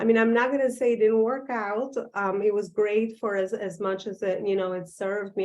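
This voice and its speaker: Speaking with an Albanian accent, a woman keeps a moderate pace and fairly even intonation. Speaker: business coach and author. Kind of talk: virtual talk. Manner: halting, many fillers.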